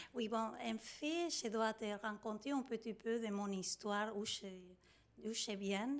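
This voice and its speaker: A woman's very slow, fairly high-pitched voice with a Spanish accent, very even loudness and ordinary pitch variation. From Argentina. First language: Spanish (speaking French). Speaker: prenatal yoga teacher and doula. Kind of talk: interview. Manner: halting, many hesitations.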